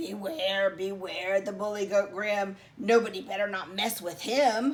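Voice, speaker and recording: A woman bellowing in a put-on character voice, medium-pitched, at a fairly slow pace. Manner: bellowing, menacing.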